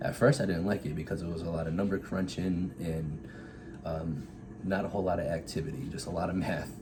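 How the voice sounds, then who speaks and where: Through audible room echo and noticeable background noise, a man with an American accent and a very deep, low pitch speaks at a fairly quick pace with ordinary pitch variation. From Massachusetts, south of Boston. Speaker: Air Force officer. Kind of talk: casual interview.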